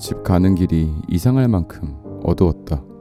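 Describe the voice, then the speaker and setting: Music plays in the background as a man with a very deep, low pitch speaks at a very slow pace, his pitch swinging very widely. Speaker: audiobook reader. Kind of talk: story reading.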